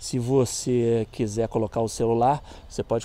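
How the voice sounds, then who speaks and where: In a dry sound with no echo, a man speaks at a moderate pace in a medium pitch, his tone dark and mellow and his intonation monotone and flat. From Brazil. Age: 50s. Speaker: motorcycle YouTuber and off-road rider; motorcycle YouTuber. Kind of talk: casual product review vlog. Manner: casual, slangy. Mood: relaxed, opinionated. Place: street. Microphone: phone near.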